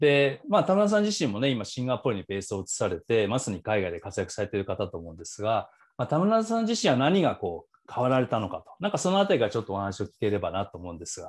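Over a quiet background, a man speaks at a very fast pace with hardly any pauses, very wide pitch swings and big swings in loudness. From Japan. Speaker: author and business school instructor; business school instructor. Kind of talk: seminar talk. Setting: video call. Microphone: earbuds.

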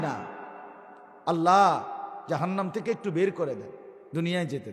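A man's high-pitched voice with big swings in loudness, amid audible room echo and noticeable background noise. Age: 40s. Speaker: Islamic preacher. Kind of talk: sermon. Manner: animated.

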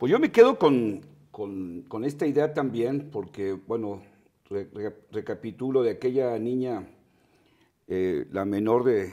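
A man speaks very slowly with a Mexican accent, his tone dark and mellow and his pitch variation ordinary, over a quiet background. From Mexico. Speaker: TV interviewer. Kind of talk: interview. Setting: TV studio. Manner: halting. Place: studio. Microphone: lapel.

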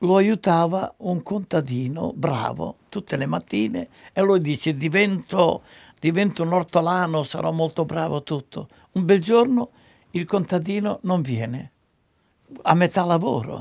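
Over a quiet background, a man with a high pitch and lively intonation speaks at a fairly slow pace with long, frequent pauses. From Italy, Romagna. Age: 80s+. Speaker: screenwriter. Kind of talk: interview answer. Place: home room.

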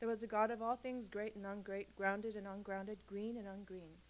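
A woman talks at a fairly quick pace with a medium pitch and fairly even intonation. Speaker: graduate creative writing student; graduate student reader. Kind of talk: reading aloud. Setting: stage with audience. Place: hall. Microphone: podium.

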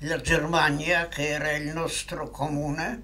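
A man with a Polish accent speaks at a fairly high pitch. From Poland. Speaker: war veteran. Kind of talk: interview answer. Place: home room.

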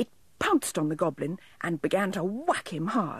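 Lively intonation in a natural reading voice

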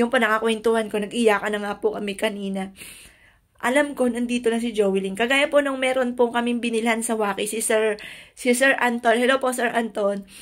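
Over a quiet background, a woman speaks at a fairly quick pace. Her pitch is fairly high and her intonation fairly even. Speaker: vlogger. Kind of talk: personal testimony vlog. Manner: loud at times. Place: home room. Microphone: phone near.

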